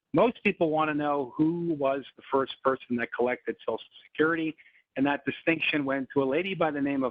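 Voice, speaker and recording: A man with an American accent, a fairly high pitch, ordinary pitch variation and a fairly quick pace. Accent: slight twang, often mistaken for New York. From Canada, Montreal. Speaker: financial presenter. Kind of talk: webinar presentation. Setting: online webinar.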